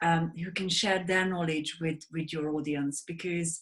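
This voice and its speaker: At a moderate pace, a woman with a Hungarian accent speaks in a fairly low, somewhat breathy voice. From Hungary. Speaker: sleep advocate, wellness mentor, author. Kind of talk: interview.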